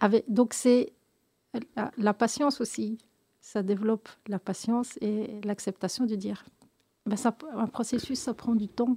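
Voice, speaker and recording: A woman at a fairly high pitch with a dark, mellow, somewhat breathy tone, fairly even intonation, a fairly slow pace and long, frequent pauses. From Belgium, of Moroccan descent. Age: 50s. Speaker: association founder, cancer survivor. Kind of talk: radio interview. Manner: halting, many hesitations and repetitions.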